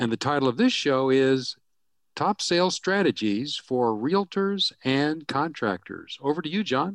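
A normal speaking voice moves at a fairly slow pace with lively intonation. The sound is dry and close with no echo, over a quiet background. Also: man, fairly high pitch for a man. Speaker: announcer. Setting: studio.

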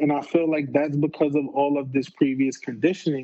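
A man with a New York accent talks at a moderate pace. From New York, the Bronx. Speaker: PhD student. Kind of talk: casual interview. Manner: halting, repeats words.

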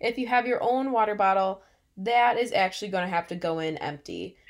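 In a very clean recording with a silent background, a woman with an American accent uses an ordinary speaking voice at a moderate pace, with lively intonation. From US Midwest, Illinois. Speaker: podcast co-host. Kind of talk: casual chat.

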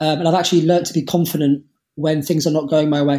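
A man with a plain, everyday voice speaks at a fairly quick pace. His pitch is fairly high and his intonation fairly even. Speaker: Paralympic powerlifter. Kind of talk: interview.

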